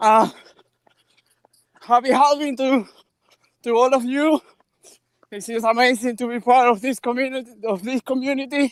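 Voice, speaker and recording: In a Venezuelan accent, a man with an extremely high voice speaks at a moderate pace with fairly even intonation and long, frequent pauses, the sound dry and close with no echo. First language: Spanish. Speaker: bitcoin educator and translator. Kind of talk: casual chat. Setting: outdoors. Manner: halting.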